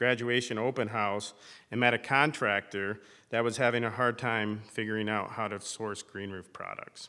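A man speaks with an American accent at a moderate pace. His tone is bright and sharp, and his intonation fairly even. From northern Michigan, US. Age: 40s. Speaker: entrepreneur in landscape architecture. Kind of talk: personal storytelling talk.

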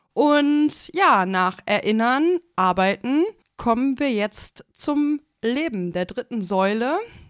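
Intonation rises and falls in a lively way. The background is silent and the recording very clean. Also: woman. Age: 20s. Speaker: podcast co-host. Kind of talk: casual chat.

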